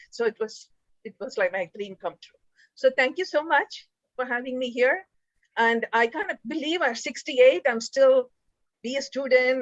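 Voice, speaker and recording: A high-pitched woman at a moderate pace, with lively intonation and big swings in loudness. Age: 60s. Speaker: music student. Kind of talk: casual chat. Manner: halting.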